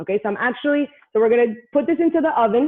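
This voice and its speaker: Very fast and animated, a woman talks in a high pitch. Her pitch swings very widely. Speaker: cooking class instructor. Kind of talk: live cooking class tutorial.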